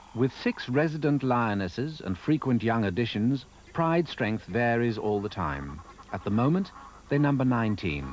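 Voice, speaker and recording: At a moderate pace and medium pitch, a man's voice makes very wide pitch swings against noticeable background noise. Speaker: narrator. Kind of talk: nature documentary narration.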